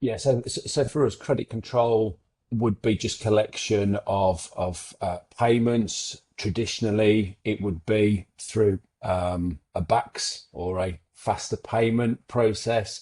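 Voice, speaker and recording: A man with an English Midlands accent speaks very slowly in a fairly low, dark, mellow voice that is somewhat breathy. The sound is dry and close with no echo, over a quiet background, and his pitch varies in an ordinary way. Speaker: accounting firm founder. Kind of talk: webinar interview. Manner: halting, repeats words.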